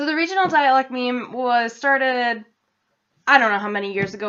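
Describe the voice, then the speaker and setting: A loud woman with a high pitch and an American accent, with ordinary pitch variation. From central Massachusetts. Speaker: vlogger. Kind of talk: casual vlog. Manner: fast.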